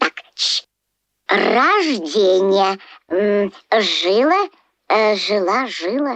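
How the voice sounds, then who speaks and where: A cartoonish character voice with a fairly high pitch moves at a very slow pace. Long, frequent pauses run throughout. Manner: halting, full of hesitations.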